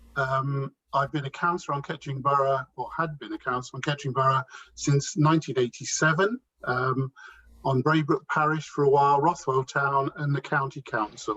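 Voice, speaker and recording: In an East Midlands accent, a man with a fairly high pitch talks at a fairly quick pace with fairly even intonation and a bright, sharp tone, the sound dry and close with no echo. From Northamptonshire, England. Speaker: local election candidate, councillor. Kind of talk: candidate introduction at hustings.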